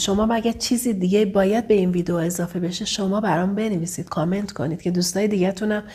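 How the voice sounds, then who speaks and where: A somewhat breathy voice at a very fast pace. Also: woman. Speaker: relationship coach. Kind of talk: vlog advice monologue. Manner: occasionally stumbling; warm, affectionate.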